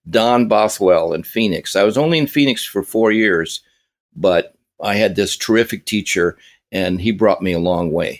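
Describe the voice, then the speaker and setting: With an American accent, a man speaks at a fairly low pitch and a moderate pace with ordinary pitch variation. The recording is very clean with a silent background, and the sound is dry and close with no echo. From US Southwest (California, Arizona). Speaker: drummer and drum teacher. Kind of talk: interview. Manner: halting, many fillers.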